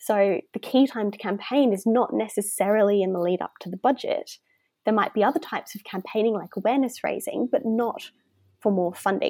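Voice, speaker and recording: A woman with an Australian accent talks at a fairly quick pace, her pitch fairly high with ordinary variation and her tone dark and mellow. The recording is very clean, with a silent background and a dry, close sound with no echo. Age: 20s. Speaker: youth activist and speaker. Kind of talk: interview.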